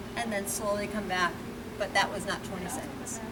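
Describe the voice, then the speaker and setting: A woman speaks at a moderate pace, her voice carrying audible room echo over noticeable background noise. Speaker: fitness instructor. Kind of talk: exercise class instruction. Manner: loud. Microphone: no microphone, may be too quiet.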